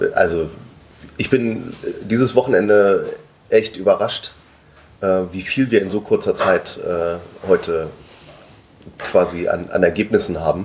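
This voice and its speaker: Long, frequent pauses break up a man's fairly slow speech amid noticeable background noise. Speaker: podcast co-host, collecting society project member. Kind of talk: casual chat. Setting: sitting together at a table in headquarters. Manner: hesitant, many fillers.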